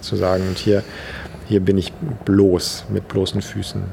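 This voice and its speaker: A man's voice over noticeable background noise. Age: 50s. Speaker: dancer and choreographer, palliative care trainer. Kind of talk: interview explanation.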